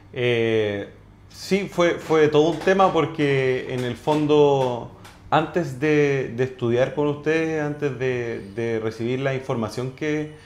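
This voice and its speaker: A man with a Chilean accent speaks at a very slow pace and a fairly high pitch. Audible room echo surrounds his voice. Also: ordinary pitch variation. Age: 30s. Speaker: orthodontist. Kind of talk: testimony. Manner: halting, many repetitions and fillers.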